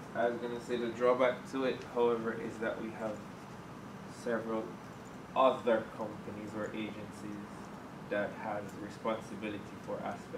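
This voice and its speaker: Over noticeable background noise, a man speaks at a moderate pace with monotone, flat intonation and long, frequent pauses. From Jamaica. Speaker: environmental agency official, course participant. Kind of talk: classroom discussion. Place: classroom.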